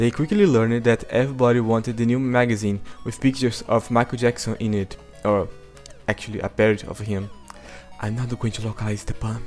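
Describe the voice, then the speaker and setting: Music plays in the background as a man at medium pitch speaks very fast in a monotone, flat way. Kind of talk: video essay narration.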